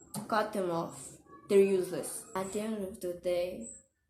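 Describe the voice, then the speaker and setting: Her speech comes at a fairly slow pace with lively intonation and a non-native accent. The woman's pitch is medium. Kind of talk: casual talk to camera. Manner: candid, conversational.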